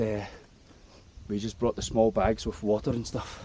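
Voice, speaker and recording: A man speaks in a dry sound with no echo. Loud background noise runs behind him. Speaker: travel vlogger hiking. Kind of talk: casual vlog chat. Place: open country. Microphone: phone near.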